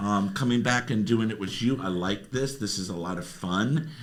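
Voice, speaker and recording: In an American accent, a man speaks at a fairly low pitch and moderate pace with ordinary pitch variation, with audible room echo around him. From South Florida. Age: 60s. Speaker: social media personality, podcast guest. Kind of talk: casual chat. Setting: podcast studio.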